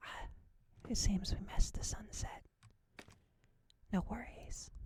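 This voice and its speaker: A woman whispering at a fairly slow pace. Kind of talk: ASMR gameplay narration, soft-spoken and relaxing. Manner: soft-spoken, whispering.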